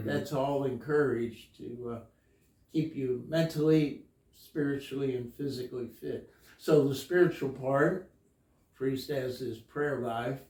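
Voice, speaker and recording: Somewhat breathy and dark, mellow in tone, a man talks at a medium pitch and a fairly slow pace with fairly even intonation. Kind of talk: interview answer.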